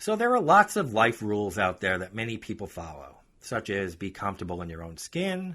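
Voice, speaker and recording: With a New York accent, a man speaks at a fairly quick pace with hardly any pauses on a very clean recording with a silent background. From New York, Long Island. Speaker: podcast host and author. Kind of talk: casual podcast talk; reading aloud from own book.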